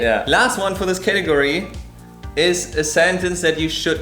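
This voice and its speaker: With music in the background, a man with a German accent talks at a moderate pace with lively intonation. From Germany. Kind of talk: casual talk to camera.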